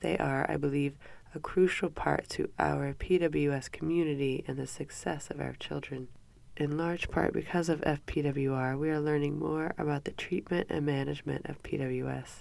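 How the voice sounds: Low-pitched, nasal woman's voice at a moderate pace, slightly mellow in tone, with vocal fry and fairly even intonation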